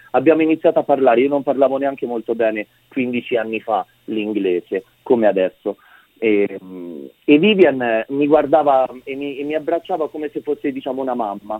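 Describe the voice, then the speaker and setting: He has a plain, everyday voice, pitched in the middle range. His delivery is lively and moderately paced. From Umbria, Italy. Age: 30s. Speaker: photographer. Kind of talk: radio interview. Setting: phone call.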